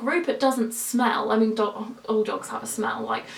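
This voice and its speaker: Noticeable noise sits behind a woman whose voice is fairly high in pitch. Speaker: lifestyle vlogger. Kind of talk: casual talking-to-camera vlog. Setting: home, alone with camera. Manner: upbeat, perky; clear, precise on camera.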